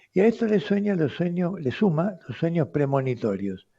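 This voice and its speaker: Over a quiet background, a man's dark, mellow, somewhat breathy voice carries lively intonation. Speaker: radio host, doctor. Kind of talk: radio talk answering listener letters. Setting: radio studio.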